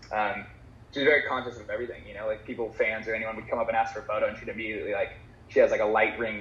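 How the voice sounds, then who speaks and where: Very fast talking from a man, with noticeable background noise behind it. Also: big swings in loudness. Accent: American. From Southern California. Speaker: surfer. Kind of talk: casual chat.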